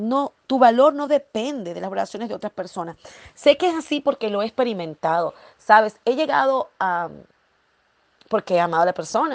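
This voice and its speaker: In a quiet setting with dry, close sound and no echo, a woman talks at a moderate pace in an animated tone, her fairly high voice swinging very widely in pitch. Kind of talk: devotional talk. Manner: halting.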